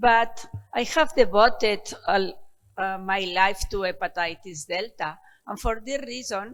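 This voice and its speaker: Over music in the background, a woman speaks at a fairly slow pace. Her medium-pitched voice has lively intonation. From Spain. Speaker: professor of medicine, hepatologist. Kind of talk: lecture.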